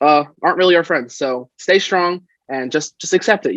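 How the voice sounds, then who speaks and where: The sound is dry and close with no echo as a man speaks at a moderate pace, his pitch varying in an ordinary way. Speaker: college student and campus club president. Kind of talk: interview. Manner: loud.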